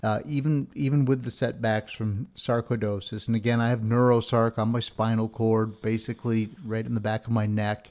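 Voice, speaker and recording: A man with a normal speaking voice at medium pitch talks at a moderate pace, with fairly even intonation and hardly any pauses. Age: 60s. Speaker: podcast host. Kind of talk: casual monologue.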